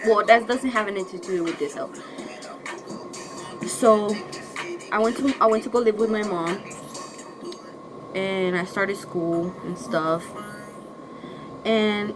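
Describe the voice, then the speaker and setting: A woman with a Spanish accent speaks in a fairly high pitch, with ordinary pitch variation. Noticeable background noise runs under her voice. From northern Mexico. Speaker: YouTuber. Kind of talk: story time vlog. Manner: casual, halting.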